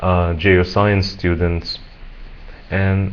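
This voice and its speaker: A man with a very deep, low voice talks fairly slowly in a flat monotone. There is audible room echo and noticeable background noise. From Egypt. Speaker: English teacher. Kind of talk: self-introduction video. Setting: webcam recording. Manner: halting, with fillers and repetitions.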